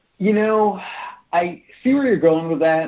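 A man is speaking. His pace is fairly quick. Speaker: MMA podcast co-host. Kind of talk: casual sports analysis and betting talk.

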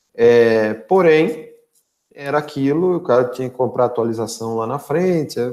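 This man has a plain, everyday voice, pitched at medium height and moving at a moderate pace with ordinary pitch variation. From interior of São Paulo state, Brazil (São Carlos). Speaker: sales director. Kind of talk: live-stream interview.

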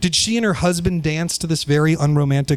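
A man speaks in a normal speaking voice with an American accent. His pitch is fairly high for a man. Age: 30s. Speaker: writer. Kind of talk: personal essay read aloud.

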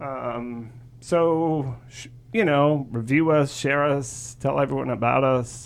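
A man talks at a very slow pace, his loudness swinging widely. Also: medium pitch for a man, ordinary pitch variation. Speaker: podcast co-host. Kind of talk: casual chat and interview.

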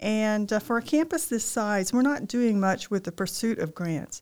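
In a very clean recording with a silent background, a woman with a Southern US accent speaks at a medium pitch with lively intonation. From Arkansas, Ozark foothills. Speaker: university provost. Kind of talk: interview.

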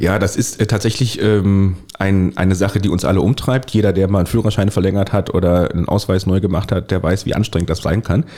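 A very fast man's voice at fairly low pitch, with ordinary pitch variation, hardly any pauses and very even loudness. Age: 40s. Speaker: local politician. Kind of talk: interview. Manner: hesitant, many fillers.

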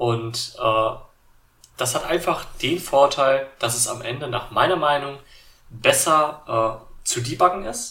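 Very slowly, a man talks in a fairly high voice with a bright, sharp tone and ordinary pitch variation. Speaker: tech YouTuber and podcaster. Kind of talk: solo tech podcast monologue. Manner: many filler sounds (äh, ähm).

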